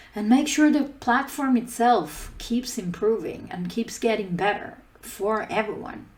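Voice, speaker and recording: Audible room echo surrounds a woman speaking at a moderate pace. Her fairly high voice is somewhat breathy, with ordinary pitch variation. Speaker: conference speaker, open source team lead. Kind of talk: conference talk.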